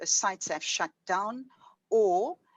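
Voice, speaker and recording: A woman with a normal speaking voice talks at a medium pitch with lively intonation, captured with a dry, close sound and no echo. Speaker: professor. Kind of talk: lecture.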